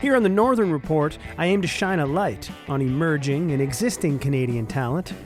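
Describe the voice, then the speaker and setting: A man talks at a fairly quick pace with lively intonation and hardly any pauses. Music plays behind him. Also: fairly high pitch for a man. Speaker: podcast host. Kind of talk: podcast intro.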